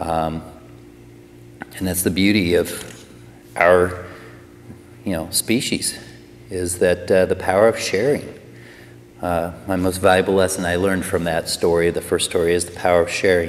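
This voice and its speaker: Against noticeable background noise, a man speaks at a moderate pace with long, frequent pauses. His pitch is very deep and low, with fairly even intonation. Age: 40s. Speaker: personal trainer and life coach. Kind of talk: personal testimony to camera. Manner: hesitant, many fillers.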